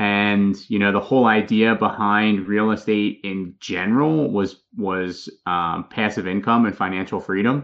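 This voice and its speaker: In a normal speaking voice, a man with an American accent talks at a fairly low pitch and a fairly slow pace, with fairly even intonation and hardly any pauses. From Philadelphia, Pennsylvania. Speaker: real estate investor. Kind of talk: podcast interview.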